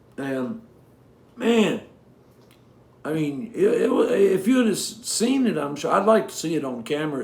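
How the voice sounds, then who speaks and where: A man's high voice with very wide pitch swings, heard with audible room echo. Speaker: singer-songwriter. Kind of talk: casual chat between songs on a livestream. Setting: home livestream from living room. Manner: halting, many fillers and cut-off sentences.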